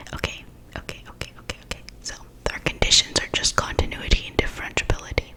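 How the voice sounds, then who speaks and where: A woman whispers fairly quickly, with noticeable noise in the background. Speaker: ASMR math tutor. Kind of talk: ASMR math lesson.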